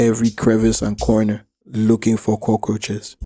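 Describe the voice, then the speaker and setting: The speaker goes at a moderate pace with an American accent. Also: man. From Nigeria. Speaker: animator and YouTuber. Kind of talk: comedic storytelling rant; casual address to viewers.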